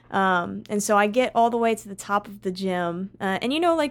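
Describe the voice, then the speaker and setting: In a very clean recording with a silent background, a woman talks at a fairly quick pace in an unremarkable speaking voice, medium in pitch with ordinary pitch variation. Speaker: college basketball player. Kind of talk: casual interview chat.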